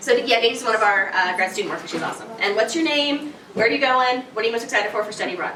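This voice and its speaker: A very fast, energetic delivery with hardly any pauses and ordinary pitch variation, amid audible room echo and noticeable background noise. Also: woman, fairly high pitch for a woman. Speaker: study abroad scholarship advisor. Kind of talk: information session presentation. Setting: room with student audience. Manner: casual, energetic.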